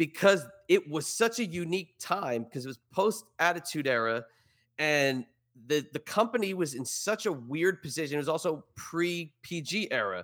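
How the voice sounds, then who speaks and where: A man talks in a plain, everyday voice. His pitch sits fairly high. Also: lively intonation, moderate pace. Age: 40s. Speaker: podcaster and media personality. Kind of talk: casual chat. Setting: remote from home basement studio.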